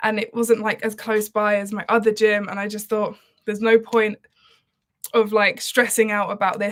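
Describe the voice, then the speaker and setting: The speaker has an Essex accent and a fairly quick pace. The intonation is flat and monotone. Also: woman. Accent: southern English (Essex). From Essex, England. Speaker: singer. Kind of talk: casual livestream chat. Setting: live stream. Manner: relaxed, chatty with fillers.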